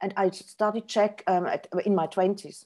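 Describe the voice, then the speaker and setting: A woman is speaking. The tone of her voice is dark and mellow. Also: quiet background. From Switzerland. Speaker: professor and author; professor. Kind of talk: lecture; Q&A answers. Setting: video call. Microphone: video call.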